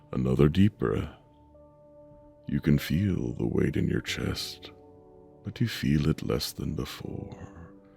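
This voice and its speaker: With music in the background, a man with a very deep, low pitch speaks at a very slow pace, using lively intonation and long, frequent pauses. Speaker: meditation guide. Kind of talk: sleep meditation. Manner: slow, soft-spoken.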